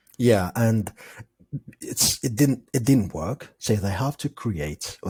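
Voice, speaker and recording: A somewhat breathy man with a non-native accent, lively intonation and a moderate pace. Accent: non-native English speaker. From Algeria. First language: not English; English is his fourth language. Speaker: podcast guest, film enthusiast. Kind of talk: casual chat.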